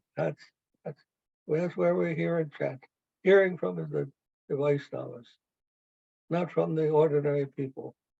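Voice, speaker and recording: A man's fairly high voice with a dark, mellow tone, very wide pitch swings, a moderate pace, long, frequent pauses, and a dry, close sound with no echo. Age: 80s+. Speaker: spiritual teacher. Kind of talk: casual chat.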